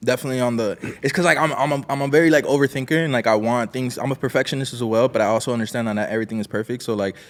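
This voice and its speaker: A man's very fast, medium-pitched speech in a Miami accent, with ordinary pitch variation. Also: hardly any pauses. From Miami, Florida. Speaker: musician. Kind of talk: casual interview chat. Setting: studio.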